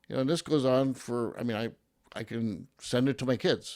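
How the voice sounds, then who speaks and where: This man speaks at a medium pitch on a very clean recording with a silent background. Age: 50s. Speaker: real estate agent. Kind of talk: interview.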